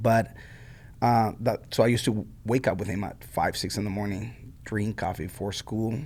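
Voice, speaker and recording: A man speaks in a Mexican accent at a moderate pace and fairly low pitch, with fairly even intonation. The recording is very clean with a silent background. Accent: Mexican Spanish accent, noticeable. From Mexico. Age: 40s. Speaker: coffee shop owner. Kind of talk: interview. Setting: music school room. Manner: casual, many fillers and repetitions.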